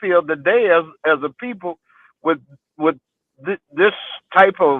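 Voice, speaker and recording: At a high pitch with lively intonation, a man with an American accent speaks at a moderate pace. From Texas, Houston (Fifth Ward). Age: 60s. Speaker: interview guest, community elder. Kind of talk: life story interview. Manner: halting, many repetitions and fillers.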